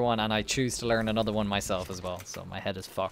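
Over light background noise, a man speaks at a very fast pace. The sound is dry, with no echo. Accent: Irish. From Ireland. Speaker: gaming streamer. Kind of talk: casual chat. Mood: joking, bantering. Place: home room. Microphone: headset.

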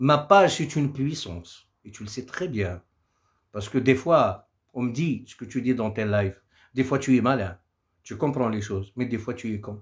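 Somewhat breathy, a man speaks at a moderate pace with lively intonation and big swings in loudness over a quiet background. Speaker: Kabyle singer doing a live. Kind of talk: angry rant. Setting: live stream on social media. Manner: furious, combative and threatening. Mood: angry, defiant. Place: home room. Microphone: phone near.

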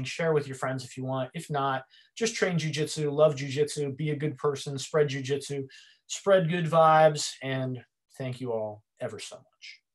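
Over a quiet background, a man speaks in a fairly high, somewhat breathy voice with fairly even intonation and big swings in loudness. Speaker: martial arts instructor; presenter. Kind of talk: lecture. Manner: fast. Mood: warm, grateful. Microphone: video call.

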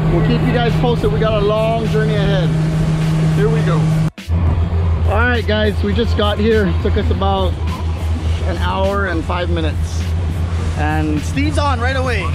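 Music plays in the background as a man speaks at a moderate pace with long, frequent pauses, the sound dry with no echo. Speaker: vlogger. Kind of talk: casual vlog chat. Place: boat. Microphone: phone near.

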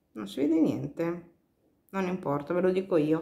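A woman with ordinary pitch variation, against a quiet background. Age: 40s. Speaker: beauty vlogger; beauty product reviewer. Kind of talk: product review vlog. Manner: hesitant, many fillers. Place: home room. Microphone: phone near.

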